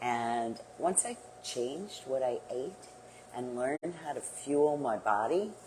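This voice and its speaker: A woman's very deep, low pitch comes through over noticeable background noise. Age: 60s. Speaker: home workout instructor. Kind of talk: live workout class. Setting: livestream. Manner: upbeat and encouraging.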